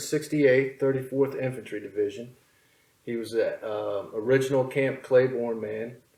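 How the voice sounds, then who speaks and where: With fairly even intonation and a moderate pace, this man has an ordinary speaking voice pitched in the medium range. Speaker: interviewer.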